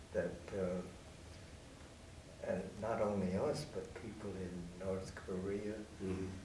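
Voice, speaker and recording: Against noticeable background noise, a man with an American accent and a fairly low pitch speaks at a very slow pace with fairly even intonation and long, frequent pauses. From United States. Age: old. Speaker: physician and radiation researcher, WWII veteran. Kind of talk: interview answer.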